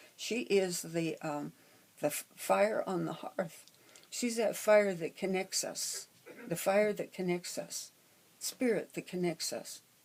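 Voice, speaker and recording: Speaking in an American accent, a woman goes at a very slow pace with ordinary pitch variation. Noticeable background noise is present. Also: medium pitch for a woman. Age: 80s+. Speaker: astrologer. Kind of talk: casual talk on astrology. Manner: halting, many fillers.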